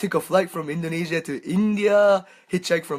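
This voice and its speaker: A man speaks with a Japanese accent in a very clean recording with a silent background. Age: 20s. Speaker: world traveller. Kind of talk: interview. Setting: livestream in a cabin. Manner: halting, many fillers.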